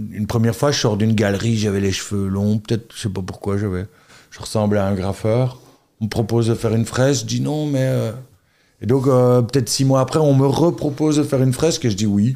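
Fairly quick and medium-pitched, a man speaks in a dark, mellow tone with ordinary pitch variation. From Belgium, Charleroi area. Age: 40s. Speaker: tour guide and artist. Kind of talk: casual chat.

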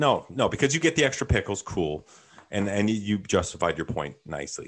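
Speaking with a Canadian accent, a man talks at a very fast pace with vocal fry and very wide pitch swings. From Northern Ontario, Canada. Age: 30s. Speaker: friend of the host. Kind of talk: casual chat. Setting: video call.

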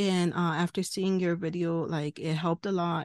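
The background is quiet. The speaker has an American accent. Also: woman, dry, close sound with no echo. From California. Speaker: caller. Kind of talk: casual chat. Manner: halting.

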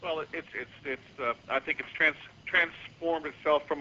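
Here a man talks at a moderate pace. He has a normal speaking voice, and his pitch varies in an ordinary way. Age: 40s. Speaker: memorial foundation chair. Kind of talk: radio interview. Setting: phone call.

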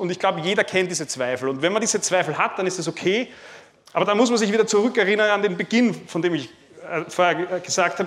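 A man talks very fast at a high pitch with ordinary pitch variation. Noticeable background noise runs underneath. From Lower Austria, near Vienna. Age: 30s. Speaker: farmer and agricultural trader. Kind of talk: talk to a live audience. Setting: room with seated audience, microphone. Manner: halting, many repeated words and fillers.

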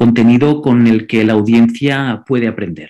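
With a Catalan accent, a man speaks at a moderate pace in a dark, mellow tone. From Andorra. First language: Catalan (speaking Spanish). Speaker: digital marketing consultant and content creator. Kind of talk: interview. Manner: frequent word repetitions.

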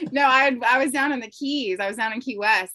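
A woman speaks in an ordinary speaking voice at a fairly quick pace. Her pitch variation is ordinary. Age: 30s. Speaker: yacht crew member and reality TV cast member. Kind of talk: casual chat.

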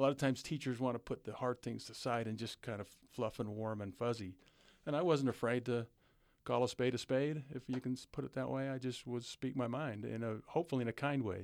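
At a fairly quick pace, an ordinary speaking voice with an American accent carries fairly even intonation. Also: man, medium pitch for a man. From southeastern Utah. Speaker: former basketball coach and prison educator. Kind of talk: interview.

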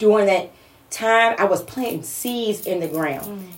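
This woman's voice is unremarkable, moving at a moderate tempo and rising and falling with ordinary pitch variation. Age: 40s. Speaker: motivational speaker and business owner. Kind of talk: casual chat.

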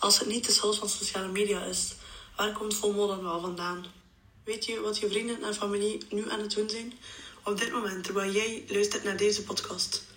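Monotone, flat delivery at a moderate pace, with audible room echo and noticeable background noise. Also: woman, medium pitch for a woman. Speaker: psychology student. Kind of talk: scripted narration.

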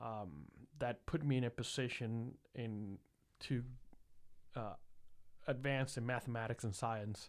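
With a slight Puerto Rican accent, a man speaks at a medium pitch with fairly even intonation. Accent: light Puerto Rican Spanish-accented English. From Puerto Rico (San Juan). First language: Spanish. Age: 30s. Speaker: engineer. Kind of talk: casual chat.

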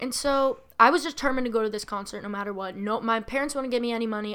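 With an American accent, a woman talks at a very fast pace. Her fairly high voice keeps a fairly even intonation. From Massachusetts. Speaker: podcast host, YouTuber. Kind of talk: casual chat.

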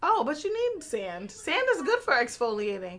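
A woman projects her voice, speaking up at a high pitch. Her tone is bright and sharp. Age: 20s. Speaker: podcast host. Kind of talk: casual banter chat. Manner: animated.

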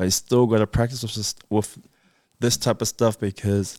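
A man's dark, mellow tone at a moderate pace

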